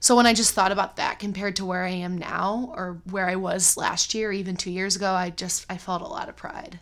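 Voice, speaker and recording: With an American accent and an unremarkable speaking voice, a woman at medium pitch talks at a fairly quick pace with hardly any pauses and ordinary pitch variation. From US Midwest, Cleveland, Ohio. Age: 20s. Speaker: middle school teacher. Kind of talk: casual chat.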